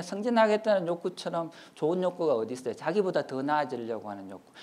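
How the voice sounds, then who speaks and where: A man speaks at a high pitch and a fairly quick pace. His pitch swings very widely. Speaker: professor. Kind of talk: lecture. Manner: fast.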